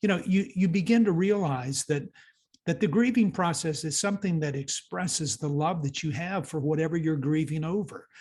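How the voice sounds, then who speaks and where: A somewhat breathy voice at a moderate pace, with lively intonation and a quiet background. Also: man. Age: 60s. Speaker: youth mentor and author. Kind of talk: interview. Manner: halting, many repeated words.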